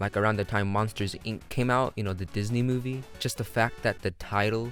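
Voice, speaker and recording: Music plays behind a man with a fairly low pitch. His intonation stays fairly even. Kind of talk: casual talk to camera.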